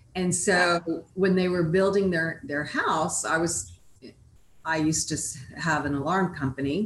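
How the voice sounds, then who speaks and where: A woman at a fairly low pitch and fairly slow pace, with ordinary pitch variation, over noticeable background noise. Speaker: married guest sharing love story. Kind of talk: casual interview. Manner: animated, talkative.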